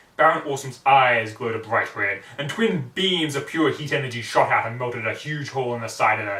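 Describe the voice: Ordinary pitch variation in plain reading aloud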